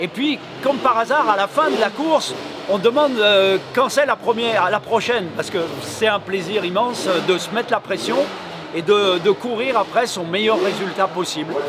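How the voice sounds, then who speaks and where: With noticeable background noise behind him, a man speaks at a moderate pace in a high pitch with lively intonation. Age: 60s. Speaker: retired motorcycle racer. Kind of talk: interview. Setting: racetrack event. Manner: hesitant with many fillers.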